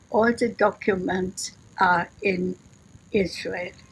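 Somewhat breathy, a woman speaks at a very slow pace with fairly even intonation. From Russia. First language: Russian. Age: 80s+. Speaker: Holocaust survivor. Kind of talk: interview answer. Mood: sad, emotional remembering. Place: home room. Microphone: phone near.

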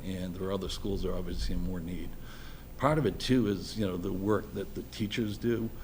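A man with an American accent, his pitch fairly low, plus audible echo from the room. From Boston area (Dorchester). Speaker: electrical engineer and school building committee volunteer. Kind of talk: public meeting presentation. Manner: halting.

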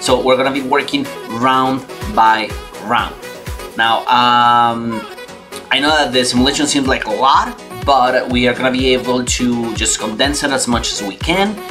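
Clear music plays in the background behind a man. He speaks at a moderate pace with a non-native accent. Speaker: online course tutor. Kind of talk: screen-recorded course lecture. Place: home room.

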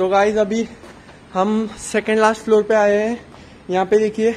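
Light background noise can be heard. The speech moves at a fairly slow pace. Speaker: vlogger. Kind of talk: casual vlog chat. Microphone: phone near.

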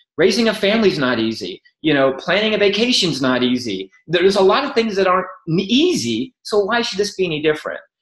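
Over a quiet background with audible room echo, a man talks at a very fast pace in a high pitch, with an animated tone and very wide pitch swings. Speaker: network marketing entrepreneur; podcast guest. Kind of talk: interview. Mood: enthusiastic, motivational. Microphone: webcam.

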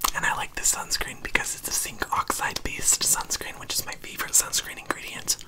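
A man whispers at a moderate pace. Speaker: skin care YouTuber. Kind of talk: ASMR skin care routine. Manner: whispered. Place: home room. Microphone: studio mic.

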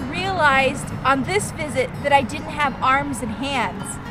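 A woman speaks at a very slow pace. The sound is dry with no echo, and clear music plays in the background. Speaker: vlogger aunt. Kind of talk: casual vlog chat. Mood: warm, earnest. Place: open country. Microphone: phone near.

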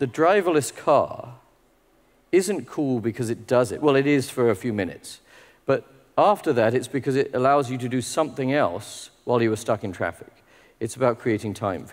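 Against a quiet background, a man speaks at a fairly quick pace and medium pitch with lively intonation. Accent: British. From UK. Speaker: technology executive. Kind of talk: conference keynote talk. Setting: stage with audience. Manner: informal, humorous. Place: hall.

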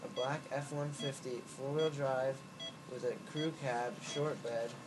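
A man speaks. Noticeable background noise runs under his voice. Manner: groggy, loopy post-anesthesia rambling. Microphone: phone near.

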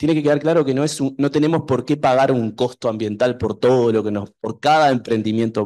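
A man with a normal speaking voice and a medium pitch talks at a fairly quick pace with lively intonation. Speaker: university researcher. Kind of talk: panel discussion. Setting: university hall with audience.

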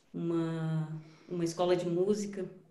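A woman talks at a fairly low pitch with monotone, flat intonation. Audible room echo colors the sound. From Brasília, Brazil. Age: 30s. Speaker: musician; panelist. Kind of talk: panel talk on video call. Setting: video call. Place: home room. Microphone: video call.

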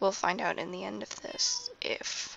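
Amid noticeable background noise, a woman whispers. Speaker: gaming youtuber. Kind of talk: gameplay commentary. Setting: at home at night with others nearby. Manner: quiet, soft-spoken.

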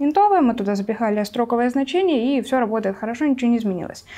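A woman's dark, mellow tone with ordinary pitch variation. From Siberia, Russia. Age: 20s. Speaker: Python developer and mentor; guest. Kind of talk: casual chat. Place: studio. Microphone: lapel.

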